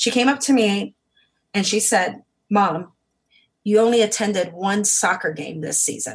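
A woman with a medium-pitched voice speaks at a fairly slow pace, leaving long, frequent pauses. Her intonation is lively, with vocal fry. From Hawaii (Oahu). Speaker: photographer and Navy veteran. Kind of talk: casual interview chat.

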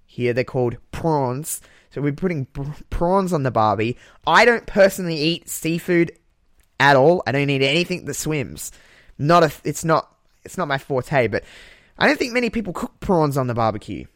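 A man with a strong Australian accent speaks in a fairly high pitch, with lively intonation and long, frequent pauses. The recording is very clean, with a silent background. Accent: broad Australian. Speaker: podcast host. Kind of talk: casual chat. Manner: animated.

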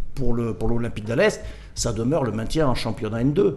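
Against noticeable background noise, a man speaks at medium pitch with lively intonation. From Corsica. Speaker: football club general manager. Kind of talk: studio interview. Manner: halting.

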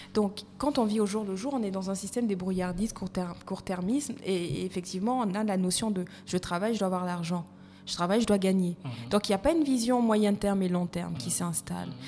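A woman with an Ivorian accent at a fairly quick pace. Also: medium pitch for a woman, ordinary pitch variation. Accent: French with Ivorian touch, kept. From Côte d'Ivoire, part Malagasy. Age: 30s. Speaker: HR consultant and coach. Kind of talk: podcast interview.

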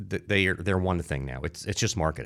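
A man talks with a New Jersey accent and ordinary pitch variation. The recording is very clean, with a silent background. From New Jersey (Newark, Irvington). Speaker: marketing entrepreneur. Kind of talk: interview.

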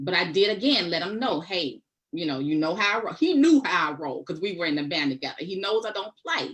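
An ordinary speaking voice belongs to this woman, who talks at a fairly quick pace with a fairly low pitch and lively intonation. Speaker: guest discussing dating experiences. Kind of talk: casual panel conversation.

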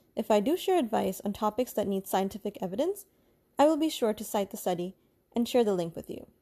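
Speaking at a very fast pace, a woman has a fairly high pitch, a dark, mellow tone and lively intonation. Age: 30s. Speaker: podcast host, new mother. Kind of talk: scripted podcast intro monologue.

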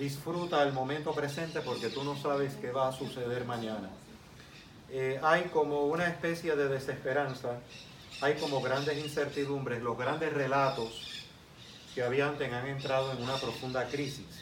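Through audible room echo and noticeable background noise, a man talks at a fairly high pitch with fairly even intonation. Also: moderate pace. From Cuba, then Puerto Rico from age 10. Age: 50s. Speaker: lecturer on spirituality. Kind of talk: lecture.

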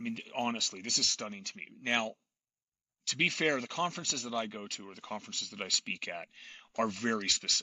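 Using an unremarkable speaking voice, a man talks at a fairly quick pace with medium pitch and ordinary pitch variation. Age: 40s. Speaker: podcast host, tech conference organizer. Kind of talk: interview conversation.

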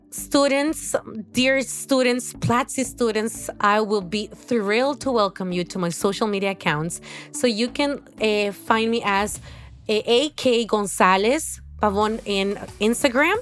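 A woman with a Spanish accent speaks at a fairly slow pace. Her pitch is fairly high, with ordinary variation. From Honduras. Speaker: course director in education. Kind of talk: interview conversation. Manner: halting, many fillers.

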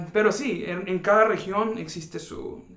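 Audible room echo surrounds this man's voice. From rural Mexico. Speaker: podcast host. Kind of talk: casual conversation.

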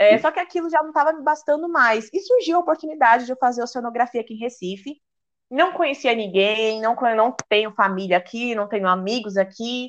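In a quiet background, a woman talks at a fairly quick pace in a high pitch with lively intonation. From Brazil, São Paulo. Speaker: oceanography student and influencer. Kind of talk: casual chat.

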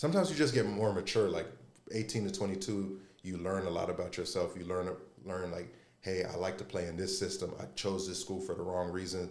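A man with a very deep, low pitch speaks at a fairly quick pace with ordinary pitch variation. Audible room echo and noticeable background noise surround him. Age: 30s. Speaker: former college basketball player. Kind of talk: casual chat.

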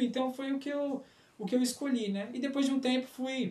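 A man talks at a moderate pace with an extremely high pitch. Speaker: podcast co-host, church music leader. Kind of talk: casual chat.

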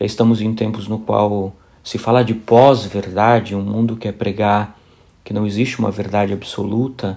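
Fairly low-pitched male voice, monotone and flat, at a moderate pace. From Brazil, raised in São Bernardo do Campo, São Paulo. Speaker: priest and author. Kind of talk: interview about his book.

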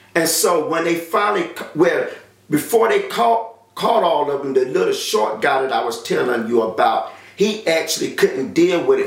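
A man with a North Carolina accent talks at a moderate pace. Noticeable background noise and audible room echo fill the recording. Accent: Southern US, North Carolina. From US South, rural North Carolina. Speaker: testimony giver. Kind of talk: personal testimony. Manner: halting, many filler sounds.

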